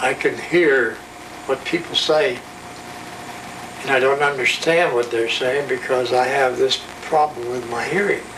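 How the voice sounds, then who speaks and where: Against noticeable background noise, a man with a fairly high pitch and ordinary pitch variation speaks at a fairly slow pace, leaving long, frequent pauses. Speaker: grandfather. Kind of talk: interview answer.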